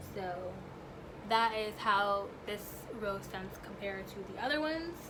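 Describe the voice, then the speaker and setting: With lively intonation and a fairly slow pace, a woman speaks amid noticeable background noise and audible room echo. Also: medium pitch for a woman. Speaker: beauty and perfume vlogger. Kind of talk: product review vlog. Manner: stuttering over words.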